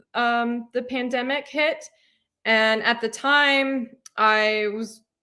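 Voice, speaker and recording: A woman's high, bright, sharp voice with an American accent, fairly even intonation and a very slow pace. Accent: slight Southern accent, mostly suppressed. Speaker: cat adventure channel host. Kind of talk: live Q&A stream. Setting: livestream. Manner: casual, many filler ums.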